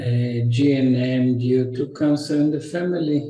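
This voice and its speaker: A man with an Israeli accent speaks very slowly at medium pitch, somewhat breathy with a dark, mellow tone, amid audible room echo. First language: Hebrew. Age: 60s. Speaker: naturopath and health educator. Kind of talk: lecture. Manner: halting.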